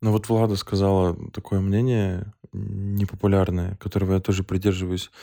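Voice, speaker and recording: On a very clean recording with a silent background, a man speaks at a moderate pace with hardly any pauses, his fairly low, dark, mellow voice at very even loudness and with monotone, flat intonation. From northern Russia (Ukhta, Komi). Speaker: podcast co-host. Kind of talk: casual chat.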